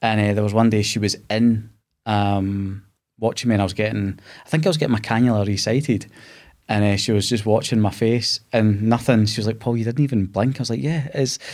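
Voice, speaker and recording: Speaking at a fairly quick pace, a man with a Glasgow accent uses ordinary pitch variation. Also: medium pitch for a man, very clean recording, silent background. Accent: Scottish (Glasgow). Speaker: podcast host, cancer survivor. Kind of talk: casual interview. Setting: studio.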